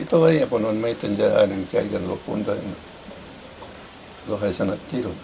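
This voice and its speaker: A man talks at a fairly slow pace with hardly any pauses while noticeable background noise runs underneath. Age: 80s+. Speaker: former farm worker, land occupation participant. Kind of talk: interview. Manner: halting.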